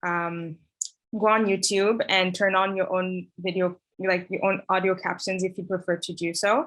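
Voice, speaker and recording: In an East African accent, a woman speaks at medium pitch with monotone, flat intonation. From East Africa, Tanzania. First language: Swahili. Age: 20s. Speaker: conference host. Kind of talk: event hosting. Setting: video call. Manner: halting, many fillers.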